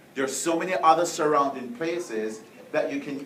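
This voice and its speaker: Over noticeable background noise and audible room echo, a man with a Jamaican accent talks at a fairly high pitch with ordinary pitch variation. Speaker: professor. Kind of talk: speech to students.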